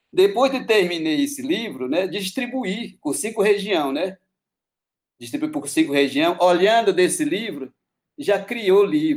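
Speaking fairly slowly, a man uses a high pitch that swings very widely. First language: Hatxa Kuin (Pano language) (speaking Portuguese). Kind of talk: interview. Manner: halting.

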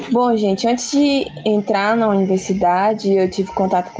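This woman's voice sits at a fairly high pitch with fairly even intonation. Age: 20s. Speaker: philosophy student. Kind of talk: casual interview about philosophy. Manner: hesitant, many fillers.

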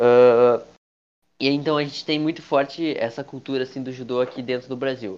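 Over a quiet background, a man with a normal speaking voice talks at a moderate pace and medium pitch with fairly even intonation. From Brazil. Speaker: podcast host. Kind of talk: casual chat.

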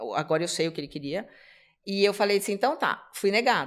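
In a very clean recording with a silent background, a woman with an ordinary speaking voice talks at a fairly quick pace, medium in pitch, with ordinary pitch variation. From Brazil, São Paulo. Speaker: immigration lawyer. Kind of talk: casual interview chat.

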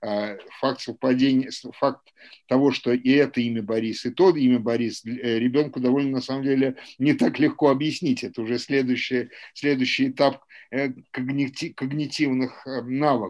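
Over a quiet background, a man speaks at a moderate pace with a medium pitch and fairly even intonation. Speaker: historian and lecturer. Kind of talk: academic seminar lecture. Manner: hesitant, many fillers and repetitions.

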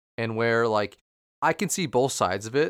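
Fairly quick in pace, a man with an unremarkable speaking voice, medium pitch, ordinary pitch variation and an American accent comes through on a very clean recording with a silent background. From Minnesota. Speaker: podcast co-host. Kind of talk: casual chat.

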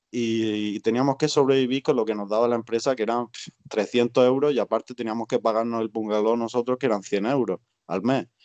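Fairly quick, fairly even speech from a man at medium pitch. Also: dry, close sound with no echo. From Spain. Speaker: emigrant waiter and trade unionist. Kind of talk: casual interview. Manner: halting.

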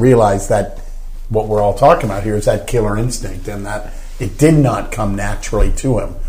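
Noticeable background noise beneath a man's fairly quick delivery with ordinary pitch variation. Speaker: golf guest and commentator. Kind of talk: casual chat.

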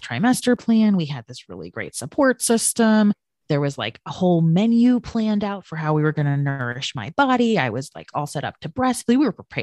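Her voice is fairly low for a woman, with very wide pitch swings at a moderate pace. The sound is dry and close, with no echo. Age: 30s. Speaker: life strategy coach and birth mother. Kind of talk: personal testimony in interview.

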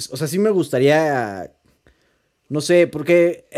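Speaking at a fairly slow pace, a man has a dark, mellow tone. He talks in a Mexican accent. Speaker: podcast co-host. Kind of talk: casual chat.

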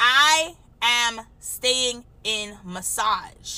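Her voice is high-pitched, bright and sharp, and this woman's tone is animated. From Trinidad and Tobago. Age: 30s. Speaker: massage therapist and podcast host. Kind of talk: solo podcast monologue.

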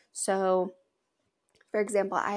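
Flat, monotone speech from a woman at a medium pitch with an American accent, on a very clean recording with a silent background. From Washington state, US. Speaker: podcast host, agriculture and western fashion. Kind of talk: casual solo podcast talk.

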